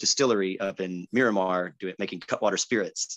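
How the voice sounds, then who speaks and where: A man speaks at a fairly low pitch with a Californian accent and fairly even intonation. The sound is dry and close with no echo. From San Diego, California (Chula Vista). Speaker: singer-songwriter. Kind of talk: casual interview chat.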